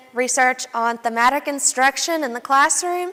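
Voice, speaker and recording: This woman has a high pitch and a bright, sharp tone, in an Appalachian accent. She talks at a fairly quick pace with fairly even intonation. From Southwest Virginia (Wise County, Appalachia). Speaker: student researcher. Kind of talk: academic presentation.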